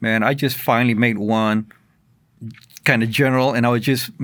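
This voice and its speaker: Here a man speaks with an American accent. His pace is fairly quick, and his pitch varies an ordinary amount. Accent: Texas, Tejano. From San Antonio, Texas. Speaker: radio producer. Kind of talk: interview answer.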